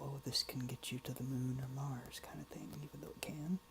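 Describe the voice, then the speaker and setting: Fairly even intonation marks the speech of a soft-spoken man. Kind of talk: soft-spoken ASMR ramble. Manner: soft-spoken, rambling, informal.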